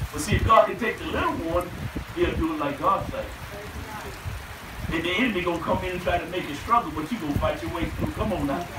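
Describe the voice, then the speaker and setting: A man talks at a fairly quick pace through loud background noise. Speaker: preacher. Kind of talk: revival sermon. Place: tent.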